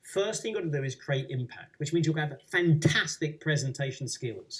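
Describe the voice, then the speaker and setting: A man's somewhat breathy voice sits fairly high in pitch and shows ordinary pitch variation. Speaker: public speaking coach. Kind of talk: webinar presentation. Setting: webinar. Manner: passionate.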